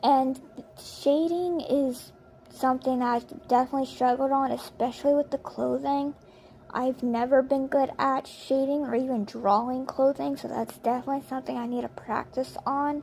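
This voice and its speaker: A woman's high-pitched, monotone voice with flat intonation at a moderate pace, over noticeable background noise. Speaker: digital artist. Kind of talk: speedpaint voiceover commentary. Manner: casual, rambling.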